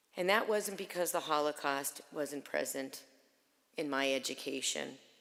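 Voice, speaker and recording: Speaking with a North Shore Massachusetts accent, a woman talks at a moderate pace with a very deep, low pitch, ordinary pitch variation and very even loudness. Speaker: Holocaust memorial speaker. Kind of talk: memorial speech. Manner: earnest, measured.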